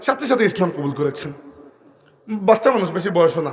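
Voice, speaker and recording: Over noticeable background noise, a man speaks loud with lively intonation. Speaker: Islamic preacher. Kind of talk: sermon.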